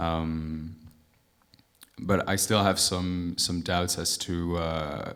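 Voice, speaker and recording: Very slowly, with long, frequent pauses, a man with a very deep, low pitch speaks in a monotone, flat intonation amid audible room echo. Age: 20s. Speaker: audience member, student drummer. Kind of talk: audience question. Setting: stage with audience. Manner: halting.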